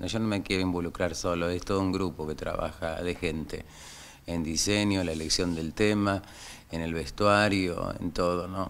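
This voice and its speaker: A man with an Argentine accent speaks at a moderate pace. His pitch is very deep and low, and his intonation is fairly even. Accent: Rioplatense Argentine Spanish. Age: 60s. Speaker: carnival troupe director. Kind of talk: interview.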